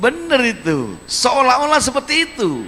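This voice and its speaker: Over noticeable background noise, a man with an extremely high pitch uses a raised, projected voice and an animated tone at a moderate pace. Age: 60s. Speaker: regional head of government. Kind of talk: public lecture to students. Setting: university auditorium with audience.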